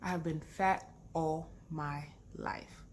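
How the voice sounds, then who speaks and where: In an animated tone, a woman with an American accent and fairly low pitch speaks with audible room echo. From London, then Texas from age 12. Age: 30s. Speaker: vlogger. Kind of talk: casual chat.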